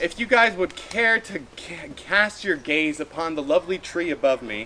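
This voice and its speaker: A man's high-pitched voice with very wide pitch swings over noticeable background noise. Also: moderate pace, big swings in loudness. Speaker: hypnotist. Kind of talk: live hypnosis demonstration. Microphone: no microphone.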